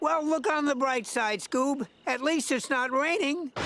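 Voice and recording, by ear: Pitched high, a cartoonish character voice speaks at a moderate pace.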